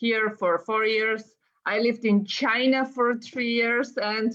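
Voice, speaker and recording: Speaking very slowly in a Bulgarian accent, a woman keeps her intonation fairly even. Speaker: gaming YouTuber. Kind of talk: casual chat. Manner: halting.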